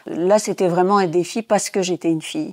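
Dry and close with no echo, a woman's fairly low-pitched voice, an ordinary speaking voice, carries fairly even intonation. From Tunisia. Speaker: former physicist and theatre director. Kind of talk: interview testimony.

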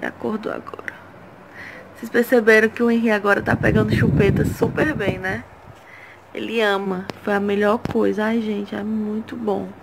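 A woman talks at a moderate pace, with long, frequent pauses. Loud background noise fills the clip. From Ceará, Brazil. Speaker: mother vlogger. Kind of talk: casual vlog talk to camera. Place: home room. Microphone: phone near.

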